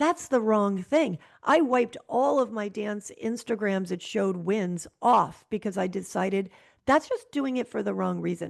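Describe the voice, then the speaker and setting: A woman speaks in a plain, everyday voice at medium pitch with an American accent. Her intonation is lively and her pace moderate. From Connecticut, US. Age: 60s. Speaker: real estate broker and ballroom dancer. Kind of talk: interview conversation.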